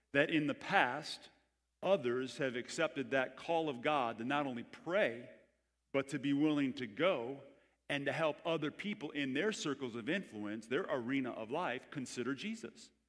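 A man talks at a moderate pace, with quiet in the background. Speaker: pastor. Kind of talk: sermon. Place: church. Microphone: headset.

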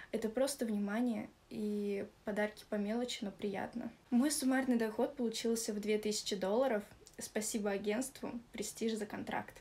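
A normal speaking voice with fairly even intonation. The pace is moderate. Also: woman, fairly high pitch for a woman. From Russia, Moscow region; Russia. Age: 20s. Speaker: club model and dancer. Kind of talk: testimonial. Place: home room. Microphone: phone near.

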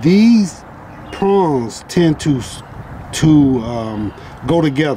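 The speech moves at a very slow pace, the sound dry with no echo and light noise in the background. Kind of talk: tutorial. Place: street.

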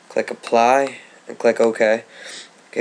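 Noticeable background noise fills the space as a man speaks at a very slow pace. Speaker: gaming video tutorial maker. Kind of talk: tutorial. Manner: casual, hesitant with fillers.

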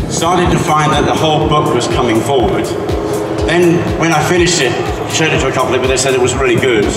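Clear music plays in the background as a man talks at a very fast pace. Audible room echo surrounds his voice. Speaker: novelist. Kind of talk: interview answer. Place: stage.

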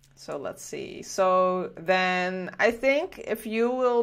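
Against a quiet background, a woman talks with lively intonation and a slight Dutch accent. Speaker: game studio livestream host. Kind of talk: casual livestream chat. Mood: cheerful, chatty. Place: home room. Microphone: headset.

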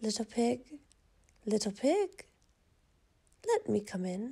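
Growling slowly in a put-on character voice, a woman uses a dark, mellow tone with vocal fry and big pitch swings. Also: fairly high pitch for a woman.

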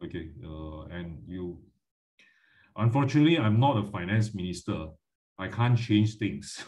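In a quiet background, a somewhat breathy man with a fairly low pitch talks at a moderate pace, with lively intonation, big swings in loudness, and long, frequent pauses. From Malaysia. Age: 50s. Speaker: finance educator. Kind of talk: lecture. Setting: video call. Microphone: video call.

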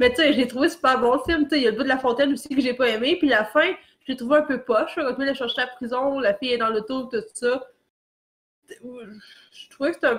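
This woman has a high pitch. She speaks with a Quebec accent. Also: ordinary pitch variation, fairly quick pace. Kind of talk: casual chat.

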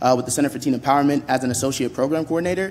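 This man talks at a very fast pace, with a medium pitch, ordinary pitch variation and a slightly mellow tone.

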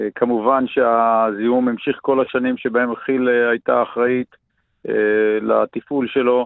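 Very slowly, a man with a medium pitch speaks in a monotone, flat intonation. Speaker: farmer and archaeologist, environmental activist. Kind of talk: radio interview. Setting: radio call.

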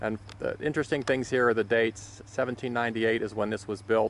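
A man talks at a moderate pace in an ordinary speaking voice, fairly low in pitch. The sound is dry with no echo, with light background noise. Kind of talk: commentary. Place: open country. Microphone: phone near.

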